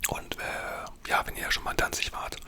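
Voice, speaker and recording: A whisper at a moderate pace over noticeable background noise. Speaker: ASMR creator. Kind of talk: storytelling. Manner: whispered.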